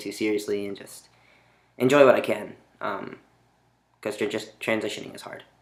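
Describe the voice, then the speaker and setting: Here a man talks at a moderate pace. His pitch is fairly low. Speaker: vlogger. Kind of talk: video diary. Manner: monotone; hesitant, many fillers.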